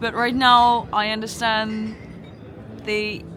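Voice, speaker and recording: Amid audible room echo and noticeable background noise, a woman with a fairly high pitch speaks at a very slow pace. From Ukraine. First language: Ukrainian. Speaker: bar patron. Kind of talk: casual chat. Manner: halting.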